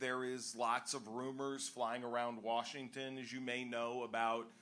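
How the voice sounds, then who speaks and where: In a room with audible echo, the voice comes across bright and sharp, with monotone, flat intonation at a fairly slow pace. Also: man. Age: 60s. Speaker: civil liberties advocate. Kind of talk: panel discussion. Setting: bar stage with live audience.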